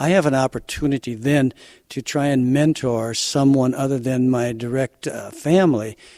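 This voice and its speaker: A man speaks in an ordinary speaking voice at a medium pitch and moderate pace. His intonation is fairly even, and the sound is dry and close with no echo. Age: 60s. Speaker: farmer. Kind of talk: interview.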